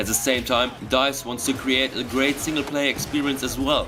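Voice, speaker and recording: Against noticeable background noise, a man with a German accent speaks at a moderate pace. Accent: German accent, non-native English. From Germany. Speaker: gaming YouTuber. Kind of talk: scripted narration.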